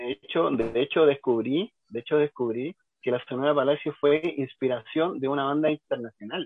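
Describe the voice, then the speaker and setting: A man speaks at a moderate pace with ordinary pitch variation. He has an ordinary speaking voice. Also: fairly high pitch for a man. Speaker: cumbia music expert, radio co-host. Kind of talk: casual radio chat.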